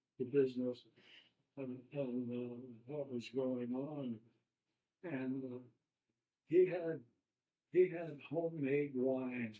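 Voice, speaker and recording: A man with an American accent speaks at a very slow pace, leaving long, frequent pauses. His intonation is fairly even, while his loudness swings widely. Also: medium pitch for a man. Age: 80s+. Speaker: war veteran. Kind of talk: oral history interview. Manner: halting.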